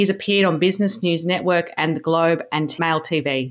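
A woman with an Australian accent, a fairly low pitch and ordinary pitch variation at a fairly quick pace, on a very clean recording with a silent background. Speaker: podcast host and producer. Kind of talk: interview, conversational.

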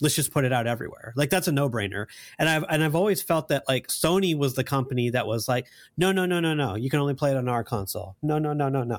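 On a very clean recording with a silent background, a man talks at a very fast pace, his fairly high pitch varying in an ordinary way. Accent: American. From US South. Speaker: gaming podcast panelist. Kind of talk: casual chat.

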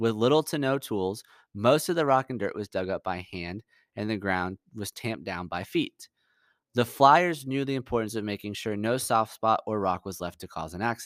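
At a moderate pace, a man with a fairly low voice speaks with lively intonation, the sound dry and close with no echo on a very clean recording with a silent background. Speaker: history podcast host. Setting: podcast. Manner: dramatic, measured, suspenseful; earnest, polished, storyteller cadence.

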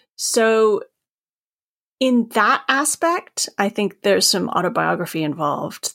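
A woman with a Maine accent, in a dry, close sound with no echo, on a very clean recording with a silent background. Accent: Maine American. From Maine, US. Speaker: author. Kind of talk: casual interview chat.

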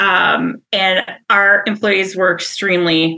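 A woman speaks at a medium pitch with an Upper Midwest accent. Her tone is bright and sharp, with vocal fry. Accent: Upper Midwest American. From Wisconsin (Wausau, central). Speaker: HR company president. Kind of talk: interview conversation.

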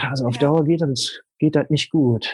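Fairly high in pitch, a man talks at a fairly slow pace with fairly even intonation. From Ruhr area, Germany. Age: 30s. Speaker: coach. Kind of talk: interview. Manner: halting.

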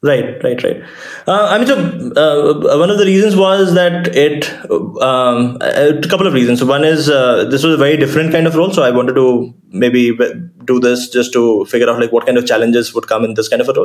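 Over noticeable background noise, a man talks at a fairly quick pace with an Indian accent. His pitch is fairly high, his intonation lively and his loudness very even. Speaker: startup founder. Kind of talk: interview.

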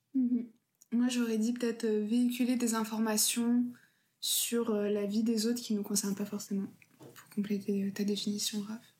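A woman with a fairly high pitch and a dark, mellow tone speaks somewhat breathily at a fairly slow pace, her intonation monotone and flat. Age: 20s. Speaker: law student. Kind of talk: casual chat.

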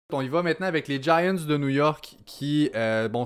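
Over a very clean recording with a silent background, a man speaks with ordinary pitch variation. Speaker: fantasy football podcast host. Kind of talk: casual chat.

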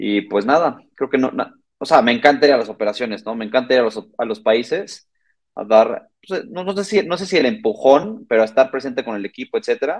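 A man at medium pitch, fairly quick pace and very wide pitch swings. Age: 30s. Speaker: logistics startup co-founder. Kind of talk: interview.

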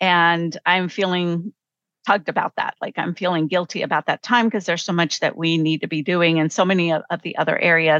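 A normal speaking voice with fairly even intonation moves at a fairly quick pace, the sound dry and close with no echo and a quiet background. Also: woman, fairly low pitch for a woman. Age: 50s. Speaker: professor and coach. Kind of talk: casual chat.

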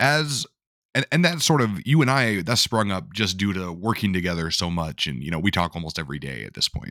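This man has a very deep, low pitch with very wide swings, vocal fry and a bright, sharp tone, talking at a fairly quick pace in a dry, close sound with no echo on a very clean recording over a silent background. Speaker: podcast host. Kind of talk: casual interview chat.

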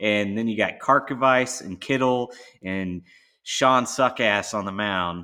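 This man has an unremarkable speaking voice at medium pitch, with ordinary pitch variation. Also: fairly slow pace. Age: 40s. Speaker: podcast host. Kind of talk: casual chat.

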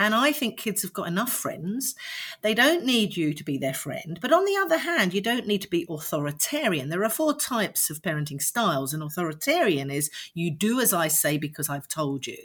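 In a London accent, a woman speaks at a fairly quick pace. Her medium-pitched voice swings very widely in pitch. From London (Streatham). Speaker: parenting coach. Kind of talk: interview.

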